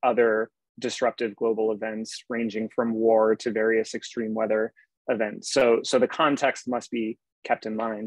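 Over a quiet background, a man speaks at a moderate pace with monotone, flat intonation in a dry sound with no echo. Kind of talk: lecture. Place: home room. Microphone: earbuds.

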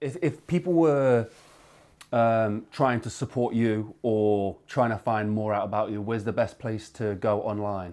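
At a fairly slow pace, a man speaks in a plain, everyday voice with ordinary pitch variation. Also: medium pitch for a man. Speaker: interviewer. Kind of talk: interview.

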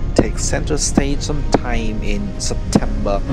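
A fairly slow pace over music in the background. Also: man. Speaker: travel vlogger narrator. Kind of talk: travel vlog narration.

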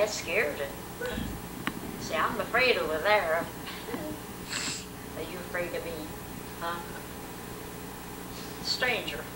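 Over loud background noise, a woman speaks at a fairly slow pace with long, frequent pauses. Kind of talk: casual family conversation. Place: home room. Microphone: old recording.

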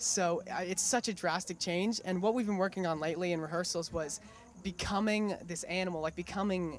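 With a Californian accent, a man speaks at a fairly quick pace in a high pitch, his pitch varying in an ordinary way. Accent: Californian, learned.

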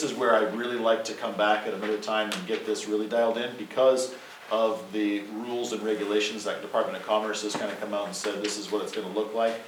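The speech comes at a very fast pace. Noticeable background noise and audible room echo are present. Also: man, big swings in loudness. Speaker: energy services company representative. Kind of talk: presentation to city council.

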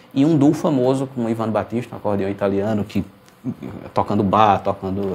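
Rattling along at a very fast pace, a man speaks at a fairly low pitch with ordinary pitch variation. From Pernambuco, Brazil (Garanhuns, Recife). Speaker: accordionist. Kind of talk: interview. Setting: video call. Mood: relaxed, thoughtful. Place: studio.

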